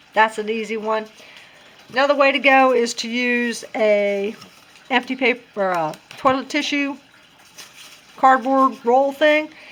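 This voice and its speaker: A woman talks at a fairly slow pace with a high pitch. Her long, frequent pauses sit over noticeable background noise. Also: ordinary pitch variation. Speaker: craft tutorial vlogger. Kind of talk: tutorial. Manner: casual, conversational.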